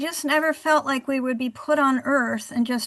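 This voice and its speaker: With fairly even intonation, a woman talks in a high voice. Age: 70s. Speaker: author and cancer survivor. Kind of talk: interview.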